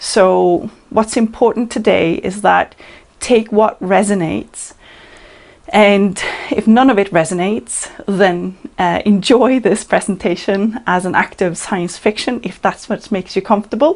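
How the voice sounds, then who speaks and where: A woman at a fairly slow pace with a slight non-native accent, noticeable background noise behind her. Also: medium pitch for a woman, ordinary pitch variation. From Norway. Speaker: channeler. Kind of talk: presentation.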